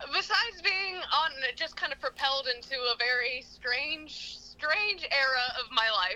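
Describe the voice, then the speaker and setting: A woman speaks with an American accent in a raised, projected voice. Her pitch is high, her tone bright and sharp, with very wide pitch swings. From Pennsylvania, US. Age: 20s. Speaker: metaphysical shop owner and tarot reader. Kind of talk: casual interview chat.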